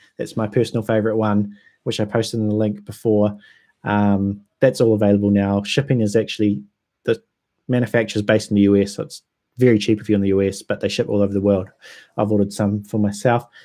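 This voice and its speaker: A man with a New Zealand accent talks at a very fast pace in a fairly low, dark, mellow voice with flat, monotone intonation, on a very clean recording with a silent background. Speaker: whisky YouTuber. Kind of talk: livestream chat. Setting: livestream. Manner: casual, hesitant with ums.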